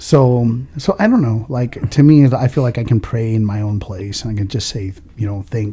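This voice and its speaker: With an American accent, a man speaks at a medium pitch and a moderate pace with hardly any pauses, his tone dark and mellow, somewhat breathy, with ordinary pitch variation. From California, Oxnard. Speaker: entrepreneur. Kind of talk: casual chat. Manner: casual, halting with fillers.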